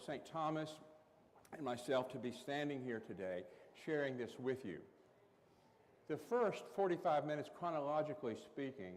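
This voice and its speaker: Audible room echo surrounds a man speaking with an Appalachian accent. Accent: Appalachian Southern US. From East Tennessee, Appalachia (Carter County). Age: 60s. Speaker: Episcopal priest. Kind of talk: workshop talk.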